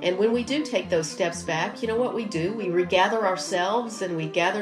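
Against noticeable background noise, a woman with a medium pitch speaks at a moderate pace with ordinary pitch variation. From Arkansas. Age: 40s. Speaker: congressional candidate. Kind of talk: interview.

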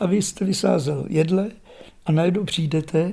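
Fairly even in intonation, a man speaks at a moderate pace with a fairly high pitch and a dark, mellow tone. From Czech Republic, Šumava region. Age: 70s. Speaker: retired forester. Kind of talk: interview. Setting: at home, living room.

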